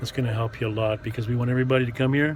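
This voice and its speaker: Over noticeable background noise, a man with a medium-pitched voice talks at a very fast pace in a monotone, flat delivery. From Montreal, Quebec. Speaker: rideshare driver and vlogger. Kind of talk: casual vlog monologue. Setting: in a car. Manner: halting, many fillers.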